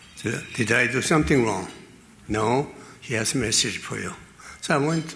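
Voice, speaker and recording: Fairly slow speech from a man, with audible room echo and noticeable background noise. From Korea. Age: 80s+. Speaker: venture capitalist. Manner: halting.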